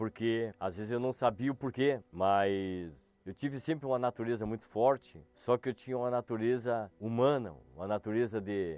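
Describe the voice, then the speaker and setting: At a moderate pace, a man speaks at a medium pitch with ordinary pitch variation, the sound dry and close with no echo. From Rio Grande do Sul, Brazil (São Gabriel). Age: 60s. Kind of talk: testimony. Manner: halting, with hesitations and repetitions.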